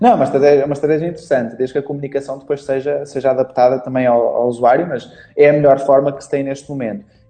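A man's fairly high voice in a European Portuguese accent, dark and mellow in tone, with fairly even intonation, a very fast pace, hardly any pauses and big swings in loudness. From Portugal. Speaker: Facebook marketing instructor. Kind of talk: interview.

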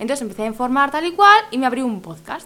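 A woman talks at a very fast pace in a high, raised, projected voice. Her pitch swings very widely. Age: 20s. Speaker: podcast host. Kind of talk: casual interview.

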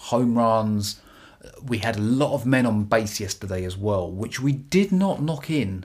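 In a British accent, a man speaks at a medium pitch and a fairly slow pace, his tone animated and his pitch varying in an ordinary way. The recording is very clean, with a silent background. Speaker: baseball podcaster. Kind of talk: solo podcast commentary. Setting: YouTube video podcast. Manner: animated, excitable.

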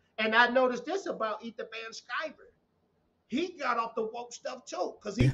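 This speaker has a Southern US accent and lively intonation. The pace is moderate. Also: man. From Texas, small town. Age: 30s. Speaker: YouTube commentator. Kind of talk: casual chat. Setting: live stream.

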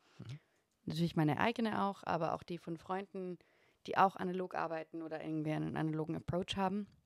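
A woman's fairly low voice at a very fast pace, with ordinary pitch variation and a dry, close sound free of echo. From Austria, Upper Austrian parents, lived in Vienna. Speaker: photographer and interior designer. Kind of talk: casual chat.

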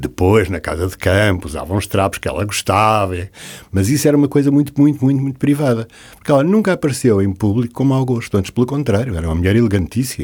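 This man talks at a very fast pace, his medium pitch making very wide swings. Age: 70s. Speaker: interior designer. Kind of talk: interview.

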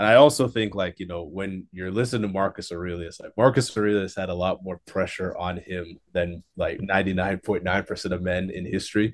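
A man with a very deep, low pitch talks at a fairly quick pace with hardly any pauses and big swings in loudness. His intonation is fairly even, on a very clean recording with a silent background. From Jamaica. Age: 20s. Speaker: guest. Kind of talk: casual chat.

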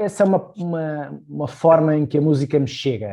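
Against a quiet background, a man speaks with a European Portuguese accent. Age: 40s. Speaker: political analyst. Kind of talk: casual chat. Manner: halting.

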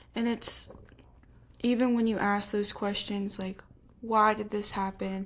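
Somewhat breathy and flat in a monotone, a woman of medium pitch talks at a fairly slow pace with long, frequent pauses. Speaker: podcast host. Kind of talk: casual interview chat.

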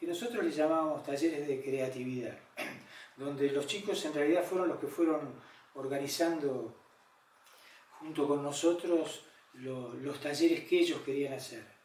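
Speaking at a fairly slow pace, a man with a fairly high pitch and ordinary pitch variation is heard over noticeable background noise and audible room echo. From Argentina, La Plata. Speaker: photographer and activist. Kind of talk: personal testimony interview. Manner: hesitant, many fillers.

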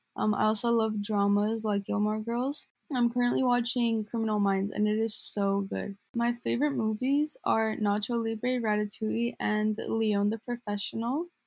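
A woman in an ordinary speaking voice, fairly high in pitch, talks at a moderate pace with hardly any pauses, fairly even intonation and very even loudness. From Glendale, Southern California. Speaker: student podcast co-host. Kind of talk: scripted podcast intro.

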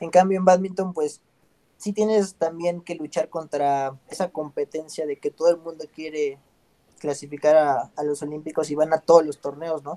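A man's fairly high-pitched, dark, mellow voice at a moderate pace, with fairly even intonation and a dry, close sound with no echo. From Mexico City. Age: 30s. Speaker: Olympic badminton player. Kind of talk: interview.

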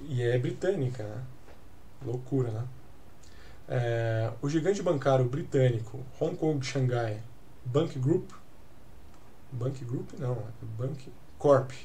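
A man's somewhat breathy, dark and mellow voice at medium pitch, in a Brazilian accent, at a very slow pace with long, frequent pauses and audible room echo. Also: ordinary pitch variation. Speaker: crypto news podcast host. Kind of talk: casual news commentary; reading news articles aloud. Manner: halting, many filler hesitations.

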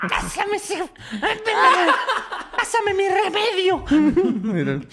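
A put-on character voice, extremely high-pitched and raspy. It moves at a very slow pace over clear background noise. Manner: demanding, pleading for her remedy.

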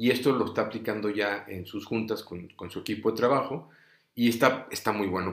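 A man talks at a moderate pace in an unremarkable speaking voice of fairly low pitch. The recording is very clean, with a silent background. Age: 40s. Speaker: podcast host, brain tumor survivor. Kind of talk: personal testimony, unedited monologue. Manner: many filler words, some stumbling. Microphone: recording setup adjusted; voice said to sound poor.

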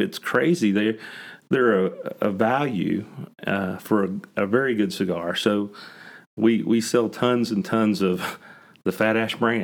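A man with an American accent talks at a fairly slow pace and a medium pitch. It is an ordinary speaking voice. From West Virginia, Huntington. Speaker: cigar lounge owner. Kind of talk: podcast interview.

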